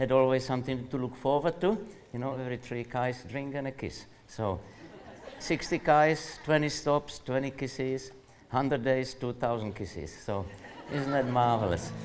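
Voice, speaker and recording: At a moderate pace, a man with an unremarkable speaking voice talks at medium pitch with ordinary pitch variation and big swings in loudness. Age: 60s. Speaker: endurance runner. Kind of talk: interview answer.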